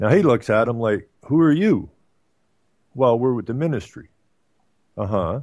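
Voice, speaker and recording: Over a quiet background, a man with an Ottawa Valley accent speaks with lively intonation. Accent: Canadian, Ottawa Valley. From Canada, Ottawa Valley. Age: 60s. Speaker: radio talk show host. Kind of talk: casual chat. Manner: halting, many fillers.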